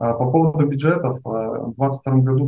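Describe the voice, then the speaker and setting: Somewhat breathy speech from a man at a medium pitch, fairly slow, with ordinary pitch variation. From Russia, Omsk. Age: 30s. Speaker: online seller. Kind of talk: interview.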